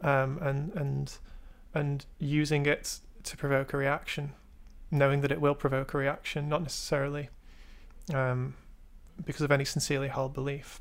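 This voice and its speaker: Moderate pace with long, frequent pauses, on a very clean recording with a silent background. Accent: English. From England. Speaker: artist and art student. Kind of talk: casual chat.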